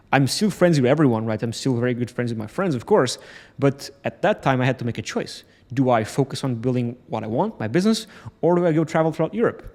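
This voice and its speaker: With a Portuguese accent, a man of medium pitch talks at a very fast pace with lively intonation. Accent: Portuguese accent, non-native English. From Portugal. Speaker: entrepreneur vlogger. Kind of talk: motivational vlog talk to camera. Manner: halting, stumbles over words.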